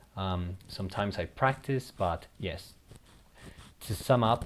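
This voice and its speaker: A man with a Spanish accent speaks in a very deep, low voice. His pace is fairly slow and his intonation fairly even. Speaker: gaming YouTuber. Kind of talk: casual gameplay commentary. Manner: halting, with repeated words.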